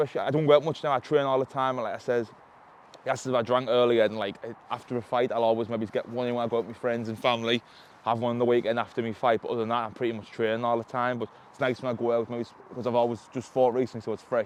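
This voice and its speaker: A man speaks at a very fast pace in a monotone, flat intonation. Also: medium pitch for a man. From North East England, Sunderland. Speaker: mixed martial arts fighter. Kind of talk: casual chat.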